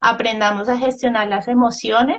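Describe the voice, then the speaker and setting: Her high-pitched voice holds a monotone, flat intonation. The woman speaks at a fairly slow pace. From Colombia, Ibagué (Tolima). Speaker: biologist and education expert. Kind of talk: interview.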